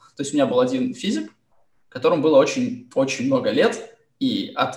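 This man's voice climbs and drops in very wide pitch swings. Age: 20s. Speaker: school teacher. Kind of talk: panel discussion.

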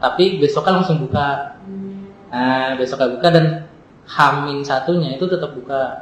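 A strong Jakarta accent at a moderate pace, with fairly even intonation and long, frequent pauses, amid audible room echo and noticeable background noise. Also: man, fairly high pitch for a man. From Jakarta, Indonesia. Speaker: former student organization leader. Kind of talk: casual chat.

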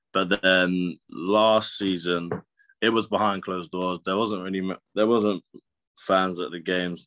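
In a very clean recording with a silent background, a man with a southern English accent speaks at a moderate pace. His very deep, low pitch holds a monotone, flat intonation and a bright, sharp tone. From southern England, Brighton. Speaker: professional basketball player. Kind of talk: interview. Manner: halting, many fillers.

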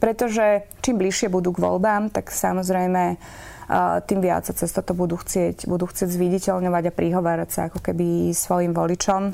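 The woman's voice is dark and mellow, at a fairly low pitch. She keeps a moderate pace in a monotone, flat intonation. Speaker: politician, member of the European Parliament. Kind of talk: political interview. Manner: hesitant, many fillers.

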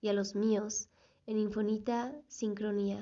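At a fairly slow pace, a woman talks in a monotone with flat intonation. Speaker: podcast host and tarot reader. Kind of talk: reading her own affirmations aloud; casual solo monologue.

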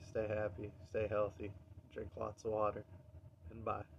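A man's somewhat breathy voice comes through as he talks at a moderate pace. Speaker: podcaster and musician. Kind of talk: casual monologue. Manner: hesitant, many fillers.

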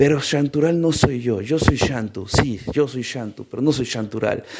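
The voice carries an animated tone and lively intonation. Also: man. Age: 30s. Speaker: podcast host and author. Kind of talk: personal monologue. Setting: walking around his apartment.

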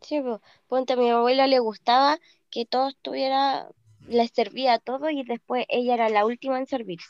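High-pitched and fairly even in intonation, a woman speaks at a moderate pace. The sound is dry and close with no echo. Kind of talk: casual chat.

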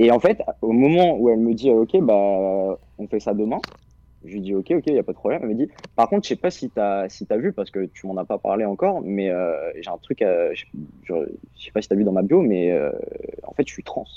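Speaking at a medium pitch and a fairly quick pace, a man makes very wide pitch swings and big swings in loudness, with long, frequent pauses. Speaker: caller. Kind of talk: casual chat.

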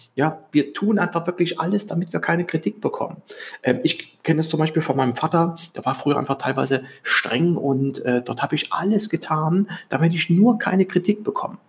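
This man's voice sits high in pitch. His speed is moderate. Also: ordinary pitch variation. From East Germany. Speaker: podcast host, self-improvement coach. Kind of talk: solo podcast monologue. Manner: hesitant, many fillers.

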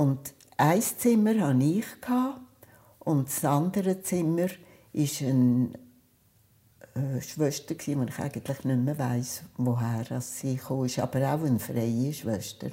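A woman with a Zug accent, very deep and low in pitch with a dark, mellow tone, lively intonation and a very slow pace full of long, frequent pauses, on a very clean recording with a silent background. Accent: Swiss German (Zug dialect). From Switzerland, Zug. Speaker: retired children's nurse, oral history interviewee. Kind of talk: oral history storytelling.

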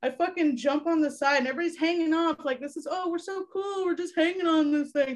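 Talking at a very fast pace with hardly any pauses, a woman uses an extremely high pitch and fairly even intonation. She has an American accent. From Florida (Ocala). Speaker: podcast guest. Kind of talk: casual chat.

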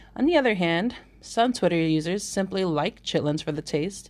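A woman with a normal speaking voice talks at medium pitch and a moderate pace. Her pitch variation is ordinary. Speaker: podcast host. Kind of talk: scripted intro and interview.

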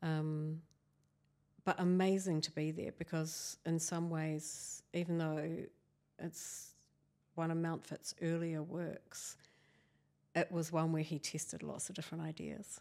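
With a New Zealand accent, a woman speaks fairly slowly in a fairly low, dark, mellow voice, her intonation monotone and flat, with long, frequent pauses. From New Zealand, Canterbury. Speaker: architectural historian. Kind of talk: interview.

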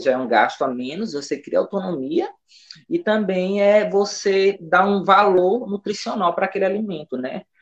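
A man's pitch swings very widely as he speaks fairly slowly. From Brazil, São Luís, Maranhão. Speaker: nutritionist. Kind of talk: radio interview. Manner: hesitant, many fillers.

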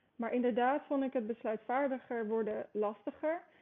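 At a moderate pace and with fairly even intonation, this is a normal speaking voice. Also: woman. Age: 20s. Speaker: sports federation marketer. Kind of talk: podcast interview.

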